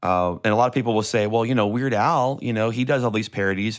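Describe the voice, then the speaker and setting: The voice is a man's. It is an ordinary speaking voice with ordinary pitch variation. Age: 40s. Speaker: church media tech and YouTuber. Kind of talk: casual chat.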